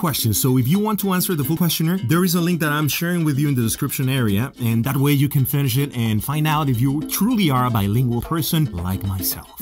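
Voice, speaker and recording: Over clear background music, a man with a Spanish accent speaks very fast with hardly any pauses, his fairly high pitch swinging very widely while his loudness stays very even. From Mexico City, Mexico. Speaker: TV host. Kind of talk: casual talk to camera. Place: studio. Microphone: studio mic.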